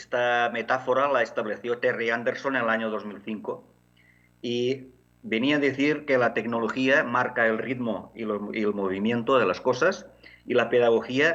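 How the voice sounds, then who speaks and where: In a Catalan accent, a man talks at a moderate pace and medium pitch with ordinary pitch variation. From Catalonia, Barcelona area. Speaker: education technology academic. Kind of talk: conference talk. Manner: halting, many fillers.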